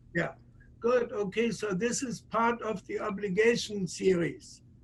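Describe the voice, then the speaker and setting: Speaking at a fairly slow pace, a man has a high pitch with ordinary pitch variation. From Germany. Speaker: puppet theater director. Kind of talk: gallery talk. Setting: video call.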